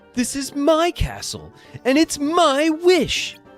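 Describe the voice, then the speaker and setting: A put-on character voice at a very slow pace over faint background music. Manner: angry, roaring.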